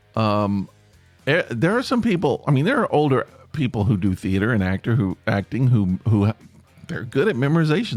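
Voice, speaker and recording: Against music in the background, a man at medium pitch speaks at a moderate pace with lively intonation. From Tennessee. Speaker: podcast host, former stage actor and stand-up comic. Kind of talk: casual podcast talk.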